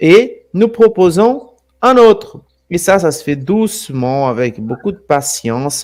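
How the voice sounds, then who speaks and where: Very slowly, a man with a Brazilian accent speaks in a high pitch that swings very widely. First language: Portuguese (speaking French). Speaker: alternative history presenter. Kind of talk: live stream talk. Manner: halting, repeats words.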